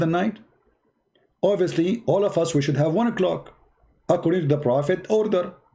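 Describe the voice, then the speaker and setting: His tone dark and mellow, a man speaks in a high pitch at a fairly quick pace with ordinary pitch variation. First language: Arabic. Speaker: online religious debater. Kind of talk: live stream chat. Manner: animated.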